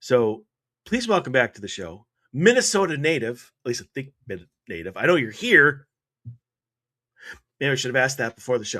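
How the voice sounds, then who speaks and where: An energetic, bright, sharp voice with an American accent swings very widely in pitch and greatly in loudness. The pace is moderate, with long, frequent pauses. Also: man, medium pitch for a man. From US Midwest (Wisconsin, Eau Claire). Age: 40s. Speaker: radio host. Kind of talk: casual chat.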